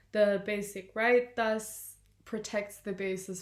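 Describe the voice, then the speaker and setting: With flat, monotone intonation, a woman speaks at a fairly slow pace. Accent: German. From southern Germany, Munich. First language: German. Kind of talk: scripted presentation. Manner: formal.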